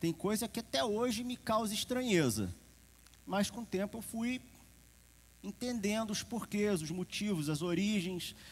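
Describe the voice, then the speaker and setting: This man talks at a fairly slow pace in a high voice with ordinary pitch variation. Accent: Carioca. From Rio de Janeiro, Brazil. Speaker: preacher. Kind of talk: sermon. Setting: church service with congregation. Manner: conversational, informal.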